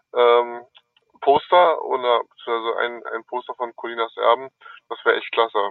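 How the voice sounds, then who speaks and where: A man speaks at a fairly slow pace. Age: 40s. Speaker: amateur referee, listener. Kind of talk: voice message. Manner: hesitant, many fillers.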